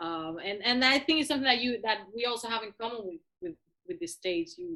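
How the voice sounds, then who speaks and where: With a Cuban accent, a woman speaks in a bright, sharp tone. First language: Spanish. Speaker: musician. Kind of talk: interview. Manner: halting.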